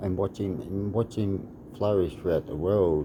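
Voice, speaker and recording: With an Australian accent, a man speaks fairly slowly in a very deep, low voice and a calm, relaxed tone. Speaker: martial arts fighter. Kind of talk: casual vlog monologue.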